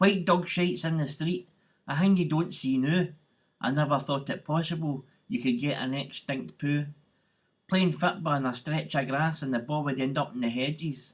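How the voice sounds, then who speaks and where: With a somewhat breathy, fairly high voice, a man speaks at a moderate pace and with ordinary pitch variation. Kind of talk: poetry reading.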